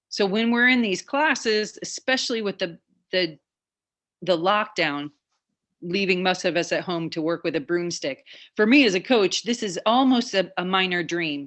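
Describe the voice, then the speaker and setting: Here a woman talks at a moderate pace. Her pitch is medium, with ordinary pitch variation. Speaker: weightlifting coach. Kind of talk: online fitness class instruction. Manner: animated.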